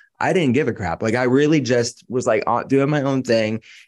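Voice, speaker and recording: Against a quiet background, a man with an American accent talks at a fairly quick pace with ordinary pitch variation, in an ordinary speaking voice. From Pittsburgh, Pennsylvania. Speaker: functional medicine doctor. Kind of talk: interview.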